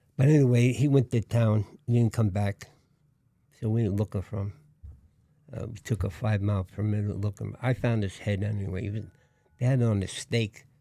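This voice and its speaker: Someone with a Brooklyn accent speaks in a dark, mellow tone, leaving long, frequent pauses. The sound is dry and close, with no echo. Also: man, fairly low pitch for a man. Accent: Brooklyn New York. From New York, Brooklyn. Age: 80s+. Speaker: war veteran. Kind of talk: interview. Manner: halting.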